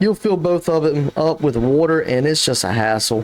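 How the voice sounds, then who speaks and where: At a fairly quick pace, a man talks with a fairly high pitch. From South Carolina. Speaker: gaming YouTuber. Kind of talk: casual gameplay commentary. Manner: casual, thinking aloud.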